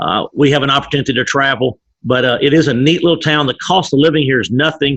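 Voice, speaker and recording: Words come out at a very fast pace in an East Texas accent. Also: man, fairly high pitch for a man. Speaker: business leader. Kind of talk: interview. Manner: fast-paced; energetic.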